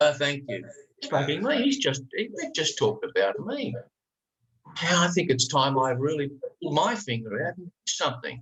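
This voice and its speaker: With an Australian accent, a man speaks at a moderate pace in a fairly high voice, his pitch swinging very widely. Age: 60s. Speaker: life coach. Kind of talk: podcast interview. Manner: animated.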